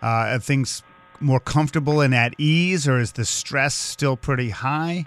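Noticeable background noise sits under a man talking at a medium pitch. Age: 50s. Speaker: radio talk show host. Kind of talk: interview.

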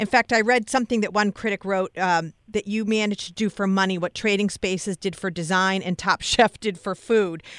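A woman speaks in a plain, everyday voice at medium pitch with fairly even intonation, at a fairly quick pace with hardly any pauses. The recording is very clean with a silent background, and the sound is dry and close with no echo. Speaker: radio host. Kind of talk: radio interview. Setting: radio studio.

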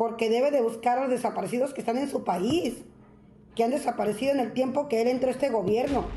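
A woman's high voice with a dark, mellow tone, a fairly quick pace and ordinary pitch variation. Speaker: radio news commentator. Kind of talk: opinionated news commentary. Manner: animated, joking.

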